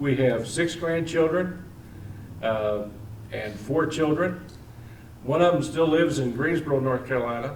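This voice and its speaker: There is audible room echo and noticeable background noise as a man with an American accent talks at a fairly slow pace. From Missouri, Imperial. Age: 60s. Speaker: political candidate. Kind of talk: campaign speech. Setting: public meeting.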